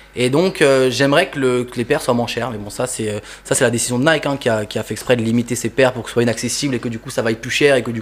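Over noticeable background noise, a man talks at a very fast pace. His pitch is medium and his intonation fairly even. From Toulouse, southern France. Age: 20s. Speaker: sneaker customizer artist. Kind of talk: casual chat.

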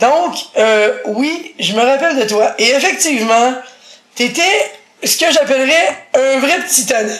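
Amid noticeable background noise and audible room echo, a woman with a Quebec accent speaks at a very slow pace, her high pitch and lively intonation broken by long, frequent pauses. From Quebec, Montreal. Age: 40s. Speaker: blind interviewee. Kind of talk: casual interview.

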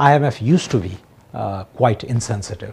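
Ordinary pitch variation shapes a man's medium-pitched voice, spoken with a Nepali accent. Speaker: economist and member of parliament. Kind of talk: TV current affairs interview.

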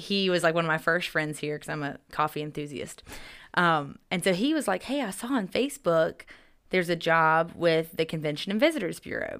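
Someone with an American accent talks at a fairly quick pace, using lively intonation in an unremarkable speaking voice. The recording is very clean, with a silent background. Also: woman, fairly low pitch for a woman. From Upstate South Carolina (Greer). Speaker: tourism sales director. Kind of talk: casual interview. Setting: studio.

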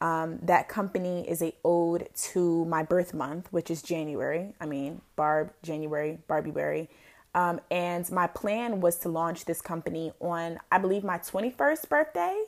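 A woman speaks in a plain, everyday voice, fairly low in pitch, with fairly even intonation and a fairly slow pace. The recording is very clean, with a silent background. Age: 20s. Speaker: podcast host and blogger. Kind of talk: casual solo podcast monologue. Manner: casual, filler-heavy.

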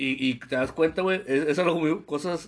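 Over a quiet background, a man with a normal speaking voice talks at a fairly high pitch with fairly even intonation. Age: 20s. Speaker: podcast co-host. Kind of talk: casual chat.

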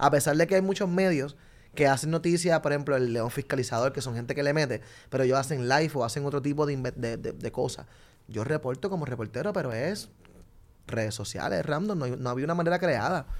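A man with an animated tone speaks very fast at a fairly high pitch with ordinary pitch variation, in a very clean recording with a silent background. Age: 30s. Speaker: street reporter. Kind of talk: casual chat.

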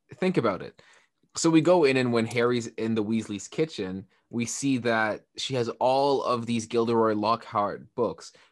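A man at medium pitch, with ordinary pitch variation and a fairly slow pace, over a quiet background. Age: 20s. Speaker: podcast co-host. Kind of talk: casual chat. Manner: animated.

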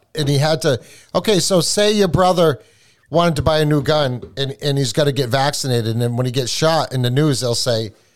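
With a slight New England accent, a man speaks at a moderate pace in a fairly high voice. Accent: New England, mild. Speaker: podcast co-host.

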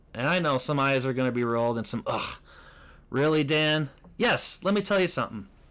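On a very clean recording with a silent background, a man talks at a fairly quick pace in a fairly high pitch with lively intonation. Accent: American. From US Midwest, Chicago northern suburbs (Lake County, Illinois). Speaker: podcast host and actor. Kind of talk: casual solo chat.

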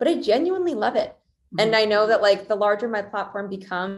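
A woman speaks at a medium pitch. It is an ordinary speaking voice. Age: 20s. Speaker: venture capital investor. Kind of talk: interview.

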